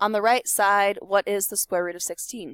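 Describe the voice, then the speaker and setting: With ordinary pitch variation, a woman's fairly high voice comes across dry and close with no echo. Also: very clean recording, silent background. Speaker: math teacher. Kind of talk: lecture.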